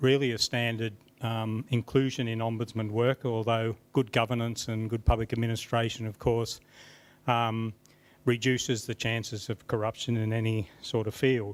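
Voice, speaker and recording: A man talks at a moderate pace in a medium-pitched voice with monotone, flat intonation. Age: 80s+. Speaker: program manager at an ombudsman office. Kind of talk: unprepared conference presentation. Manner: halting, many fillers.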